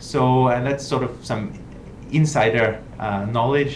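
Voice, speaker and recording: With a non-native accent and fairly even intonation, a man speaks amid noticeable background noise and audible room echo. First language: not English. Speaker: journal editor-in-chief. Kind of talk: live online Q&A talk. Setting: live video stream. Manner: hesitant, many filler words.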